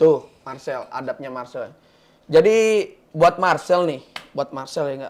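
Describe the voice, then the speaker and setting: A man with high pitch at a fairly slow pace. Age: 20s. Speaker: guest from a religious background. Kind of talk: talk show discussion.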